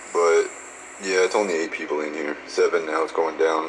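A man speaks at an extremely low pitch with little pitch movement and a moderate pace. Faint background noise can be heard.

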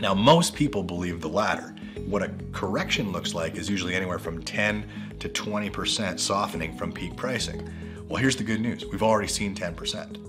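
A man talks fairly quickly while clear music plays behind him. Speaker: real estate agent. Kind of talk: real estate market update presentation to camera. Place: office.

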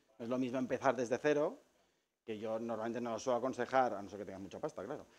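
A man talks at a very fast pace. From Spain, Lleida (Catalonia); Catalonia, Spain. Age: 40s. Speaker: photographer. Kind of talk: talk to a live audience. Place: shop.

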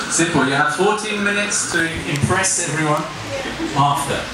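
Over loud background noise and audible room echo, a man talks at a fairly slow pace. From England. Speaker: IELTS examiner and trainer. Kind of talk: masterclass lecture. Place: classroom.

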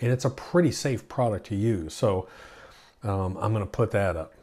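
A man speaks at a moderate pace in a dark, mellow, somewhat breathy tone. His pitch is fairly low, with ordinary variation. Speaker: lawn care channel host. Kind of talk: casual vlog chat. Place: home room.

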